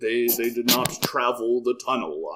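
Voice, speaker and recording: A man performs a put-on character voice at a medium pitch. He keeps a moderate pace. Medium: actual play. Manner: slow, formal, unhurried.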